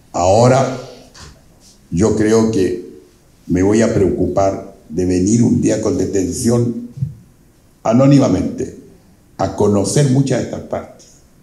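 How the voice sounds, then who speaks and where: A man speaks very slowly at a medium pitch, leaving long, frequent pauses. His somewhat breathy voice has a dark, mellow tone, with audible room echo. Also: ordinary pitch variation. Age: 80s+. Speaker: invited speaker, elder local historian. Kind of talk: public talk to an audience.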